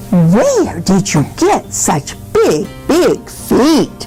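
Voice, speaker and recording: A woman in a put-on character voice speaks at a very slow pace with clear music in the background. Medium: read story. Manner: repetitive, wondering.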